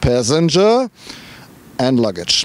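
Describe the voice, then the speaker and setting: Someone speaks with a strong German accent over noticeable background noise. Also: man. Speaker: car reviewer. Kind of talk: casual talk to camera.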